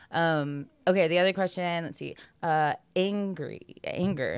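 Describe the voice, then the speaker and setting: A woman with an American accent has an ordinary speaking voice, fairly low in pitch. Her intonation is fairly even, on a very clean recording with a silent background. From US national parks, Mexican family. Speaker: comedian and podcast host. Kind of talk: casual chat.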